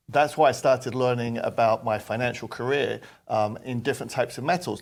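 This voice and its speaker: The voice has a London accent. It moves at a fairly quick pace. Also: man. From London, England. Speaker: precious metals company executive. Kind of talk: interview.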